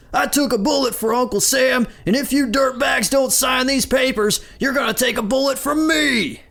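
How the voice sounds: Using a put-on character voice, a man speaks at an extremely high pitch with vocal fry, a fairly bright tone, ordinary pitch variation and a moderate pace.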